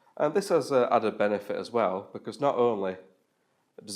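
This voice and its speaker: The speaker has a strong Yorkshire accent and a moderate pace. The recording is very clean, with a silent background. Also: man. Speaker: web developer giving a talk. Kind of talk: meetup tech talk. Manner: casual with frequent fillers.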